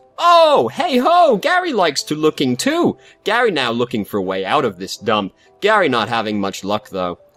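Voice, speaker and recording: Shouting in a put-on character voice, a man speaks at a moderate pace with fairly high pitch. Music plays in the background. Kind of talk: broken, third-person speech.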